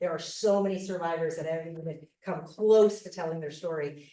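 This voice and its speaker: A woman with an American accent talks at a fairly quick pace in a dark, mellow tone. Room echo is audible. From US, Arizona. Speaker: cult survivor and podcast host. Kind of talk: conference presentation.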